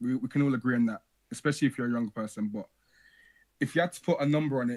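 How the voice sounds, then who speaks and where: A man talks very fast at a medium pitch, with ordinary pitch variation. The sound is dry and close, with no echo. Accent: Birmingham. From Birmingham, England. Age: young. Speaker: call-in show host. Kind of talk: casual call-in chat.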